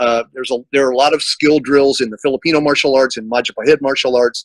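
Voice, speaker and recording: At a fairly quick pace, a plain, everyday voice comes through with fairly even intonation and a dry, close sound with no echo. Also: man. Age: 60s. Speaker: martial arts instructor. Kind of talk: casual chat.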